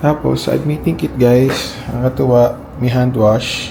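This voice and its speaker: Soft-spoken and very slow, a man talks with ordinary pitch variation over noticeable background noise and audible room echo. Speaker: vlogger, registered nurse. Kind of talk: casual vlog. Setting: hospital room.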